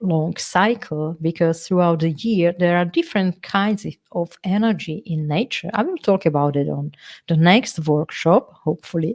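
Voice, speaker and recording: A woman with a non-native accent speaks in a fairly low voice. Her tone is dark and mellow. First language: not English. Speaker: workshop leader, feng shui coach. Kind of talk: live online workshop. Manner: halting, with many fillers and repetitions.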